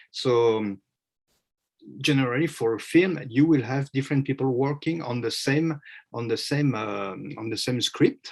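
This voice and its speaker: This man speaks with a French accent at a moderate pace. His voice sits at a medium pitch with ordinary pitch variation. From France. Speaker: media consultant. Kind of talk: panel presentation. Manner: halting, many fillers.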